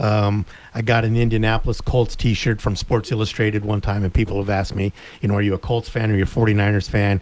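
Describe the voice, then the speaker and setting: A man with an American accent talks very fast in a monotone, flat intonation at fairly low pitch. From US Southwest, Tucson, Arizona. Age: 60s. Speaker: sports radio co-host. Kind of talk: casual chat.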